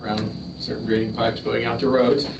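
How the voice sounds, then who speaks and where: With noticeable background noise and audible room echo, a man talks at a fairly quick pace. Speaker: town official giving updates. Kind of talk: public meeting report. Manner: fast.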